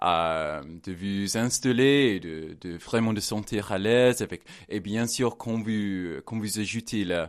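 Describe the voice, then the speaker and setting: The voice has an English accent and ordinary pitch variation. It moves at a very slow pace over a quiet background. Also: man, fairly low pitch for a man. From England. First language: English (speaking French). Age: 20s. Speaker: language assistant. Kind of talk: radio interview. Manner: halting.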